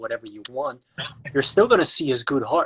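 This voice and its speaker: A man talks at medium pitch with a Dutch accent. The sound is dry and close, with no echo. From Netherlands, Amsterdam. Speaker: actor and online interviewer. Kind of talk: casual interview chat. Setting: Instagram live video call.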